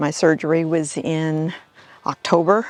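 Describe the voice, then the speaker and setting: Recorded with a dry, close sound and no echo, a woman with a very deep, low pitch speaks at a very slow pace. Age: 70s. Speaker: member of a senior women's swim cleanup group. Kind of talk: interview testimony.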